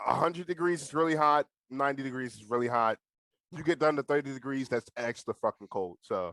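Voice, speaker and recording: An American-accented man speaks very fast at a fairly high pitch, with ordinary pitch variation. His loudness swings a lot, and the sound is dry and close with no echo. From USA. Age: under 20. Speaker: YouTuber. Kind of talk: casual chat.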